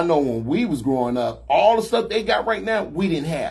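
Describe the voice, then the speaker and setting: The man's pitch swings very widely, and his voice carries a somewhat breathy quality. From Chicago. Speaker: talk show host. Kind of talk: casual chat.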